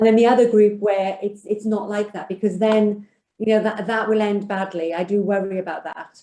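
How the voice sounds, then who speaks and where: A woman with a Welsh accent speaks at a moderate pace. Her medium-pitched voice has monotone, flat intonation. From Wales. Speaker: financial services executive. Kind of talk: panel discussion.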